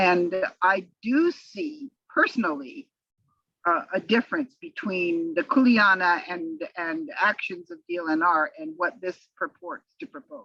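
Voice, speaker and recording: A woman's medium-pitched, bright, sharp voice at a fairly slow pace, with very wide pitch swings and big swings in loudness. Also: dry, close sound with no echo. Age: 70s. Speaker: council member. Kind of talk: meeting discussion. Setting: video call. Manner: halting.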